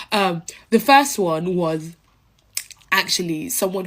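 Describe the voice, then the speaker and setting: The speaker has a London accent and a lively, varied intonation. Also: woman. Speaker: social media creator. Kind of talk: casual storytelling to camera. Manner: hesitant with many fillers.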